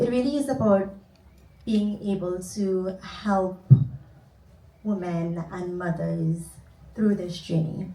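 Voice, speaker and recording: Long, frequent pauses break up this very slow speech from a woman with a Trinidadian accent and medium pitch, with audible room echo around her. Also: ordinary pitch variation. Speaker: cognitive behavior therapist. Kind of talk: conference panel talk.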